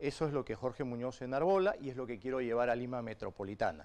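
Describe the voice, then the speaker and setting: A man talks very fast. His words come in rapid succession. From Peru. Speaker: politician. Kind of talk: political interview. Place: studio. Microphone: lapel.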